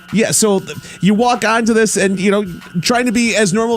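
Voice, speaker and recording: A man talks at a very fast pace with ordinary pitch variation while music plays in the background. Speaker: radio host. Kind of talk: radio interview. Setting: radio studio. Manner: stuttering.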